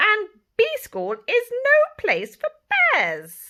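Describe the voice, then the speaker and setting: In a put-on character voice, a woman squeaks out her words at an extremely high pitch and a very slow pace. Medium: read story.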